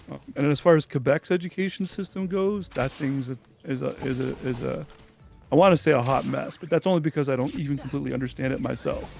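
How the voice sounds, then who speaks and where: Over music in the background, a man with a fairly high pitch and ordinary pitch variation talks at a very fast pace. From French Canada. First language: French. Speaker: gamer streamer. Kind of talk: casual chat.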